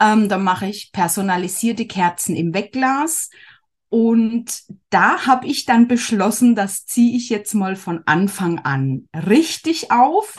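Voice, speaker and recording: Against a quiet background, a woman with a fairly high, somewhat breathy voice talks very slowly with lively intonation. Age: 40s. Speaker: handmade business owner, former course participant. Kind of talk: casual interview.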